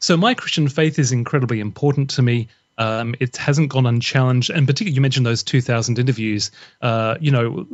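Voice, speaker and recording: The speaker talks at a very fast pace in an Australian accent, with fairly even intonation. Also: man. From Australia, Brisbane. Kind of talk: podcast interview.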